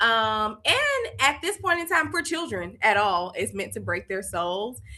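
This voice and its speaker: A woman speaks with a Southern US accent. Her pace is fairly slow. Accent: Southern US (Georgia). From US South, Columbus, Georgia. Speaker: education founder. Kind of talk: casual interview.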